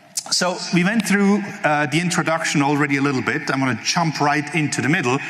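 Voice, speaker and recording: A man speaks at a fairly high pitch with very wide pitch swings. Audible room echo and noticeable background noise fill the recording. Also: very even loudness. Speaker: conference speaker, network engineer. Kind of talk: technical conference talk. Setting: stage with live audience. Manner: fast.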